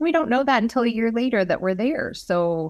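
Recorded very cleanly against a silent background, a woman with an unremarkable speaking voice talks at a moderate pace with ordinary pitch variation. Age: 40s. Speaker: health practitioner. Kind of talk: casual chat.

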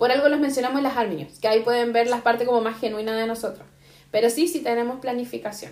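High-pitched and very fast, a woman speaks. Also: ordinary pitch variation. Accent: Chilean. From Chile. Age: 30s. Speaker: podcast co-host. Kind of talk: casual chat.

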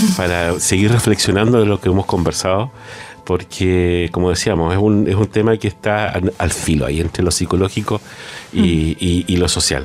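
Very even loudness at a moderate pace, with noticeable background noise. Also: man, very deep, low pitch for a man. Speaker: radio co-host, music professor. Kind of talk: casual radio chat. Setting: radio studio.

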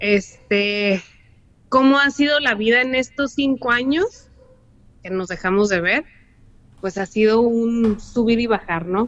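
A woman at a fairly high pitch and a very slow pace, with ordinary pitch variation and long, frequent pauses. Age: 30s. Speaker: lawyer and mother of a child with cancer. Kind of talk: casual chat.

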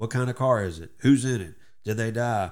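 With a Texan accent, a man speaks at a moderate pace and a medium pitch with ordinary pitch variation. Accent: Southeast Texas Southern. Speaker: radio host. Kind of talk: casual interview chat.

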